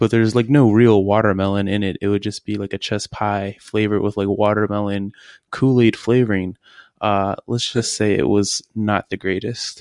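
Against a quiet background, a man with an American accent speaks at a moderate pace, his fairly low voice monotone and flat, the sound dry and close with no echo. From Virginia. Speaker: chef and cafe owner. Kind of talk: interview. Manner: casual, filler-heavy.

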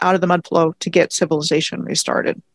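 A woman with an American accent talks at a very fast pace, her voice dry and close with no echo on a very clean recording with a silent background. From Maryland, US (Montgomery County, near Washington D.C.). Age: 50s. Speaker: independent history researcher and video blogger. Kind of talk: interview.

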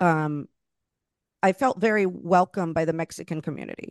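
A woman speaks in an ordinary speaking voice, fairly low in pitch with ordinary pitch variation. The sound is dry and close with no echo, over a quiet background. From Florida, Puerto Rican and Cuban family. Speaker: podcast host. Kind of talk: casual interview chat.

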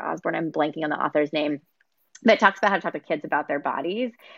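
A woman speaks at a very fast pace with vocal fry and a very deep, low pitch. The sound is dry and close with no echo, over a quiet background. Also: big swings in loudness. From Texas. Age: 30s. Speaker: nonprofit executive director. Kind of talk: casual interview. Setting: video call.

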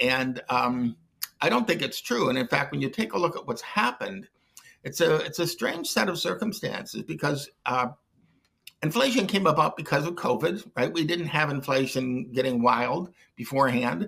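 A man speaks with an American accent in a bright, sharp tone. His intonation is lively. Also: fairly high pitch for a man, moderate pace. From US Midwest, Detroit. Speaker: economist. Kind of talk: interview.

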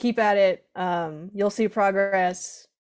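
A woman with a plain, everyday voice speaks at a medium pitch with fairly even intonation. The recording is very clean, with a silent background. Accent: American. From southeastern Connecticut, US. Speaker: drum corps performer and band instructor. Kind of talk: casual interview.

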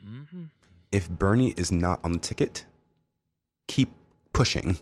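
Lively intonation marks a man with an American accent speaking at a moderate pace and a fairly low pitch. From New York City (Brooklyn), New Jersey suburbs. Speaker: guest. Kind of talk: casual chat.

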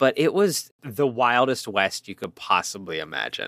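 In an American accent, the voice is bright and sharp, with lively intonation at a moderate pace. The sound is dry and close with no echo, on a very clean recording with a silent background. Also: man. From Pittsburgh, US. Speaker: podcast host. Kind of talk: casual comedic movie review chat.

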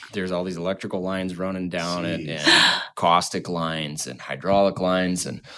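A man with an American accent and a very deep, low pitch speaks at a fairly quick pace with fairly even intonation and hardly any pauses over noticeable background noise. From Minnesota, Goodhue. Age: 30s. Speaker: company CEO, electrical contractor. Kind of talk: casual interview.

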